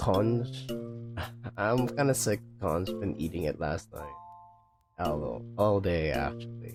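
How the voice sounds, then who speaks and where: Over music in the background, a man with a fairly low voice talks very slowly with lively intonation and long, frequent pauses. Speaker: vtuber streamer. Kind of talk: casual talk to chat on a livestream.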